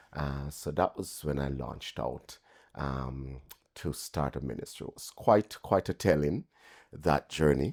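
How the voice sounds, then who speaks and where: A man's very deep, low voice with vocal fry, at a fairly slow pace, in a dry, close sound with no echo. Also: big swings in loudness, very clean recording, silent background. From Jamaica. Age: 60s. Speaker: pastor. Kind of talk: interview.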